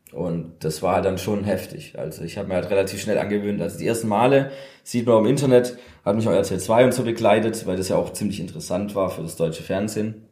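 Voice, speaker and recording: The speech runs at a very fast pace in a dark, mellow tone. Room echo is audible. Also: man, fairly low pitch for a man, ordinary pitch variation. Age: 30s. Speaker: DJ, former upholsterer. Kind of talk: casual interview chat. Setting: converted old car workshop.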